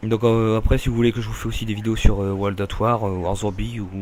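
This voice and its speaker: A man speaks at a moderate pace with fairly even intonation. His pitch is fairly low. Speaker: gaming youtuber. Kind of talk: gameplay commentary. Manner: halting, many fillers; casual, rambling hesitations.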